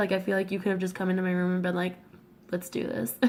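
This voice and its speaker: A woman speaks at a very fast pace. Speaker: vlogger. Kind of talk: casual vlog talk. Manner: casual, filler-heavy.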